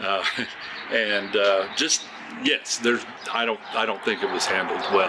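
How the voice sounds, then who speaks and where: A man with an American accent speaks while noticeable background noise carries on. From Oklahoma, USA. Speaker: retired music teacher and oil field worker. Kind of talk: interview answer. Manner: hesitant, many fillers.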